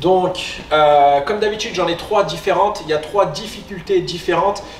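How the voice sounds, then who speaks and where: Audible room echo and light background noise surround a man speaking at a high pitch. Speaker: fitness coach. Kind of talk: tutorial. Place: gym.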